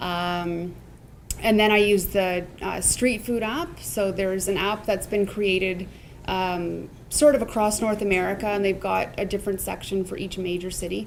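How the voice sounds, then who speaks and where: A woman with a Canadian accent speaks at a moderate pace with fairly even intonation. Audible room echo surrounds her voice. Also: medium pitch for a woman. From Ontario, Canada (Niagara). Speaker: food truck owner. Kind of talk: interview.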